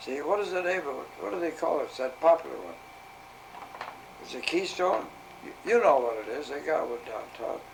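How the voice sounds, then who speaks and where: With an American accent, a man talks fairly quickly amid long, frequent pauses and big swings in loudness, heard through noticeable background noise and audible room echo. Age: 90s. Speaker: retired arcade game operator. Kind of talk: casual interview.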